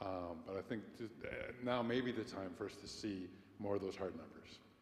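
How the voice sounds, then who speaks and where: A man speaks at a moderate pace with fairly low pitch and fairly even intonation. Audible echo fills the room. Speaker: congregation member. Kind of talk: meeting discussion. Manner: loud; projecting.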